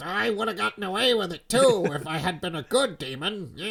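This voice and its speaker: Delivered at a fairly quick pace, the voice is a put-on character voice. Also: man, high pitch for a man. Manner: mocking, villainous.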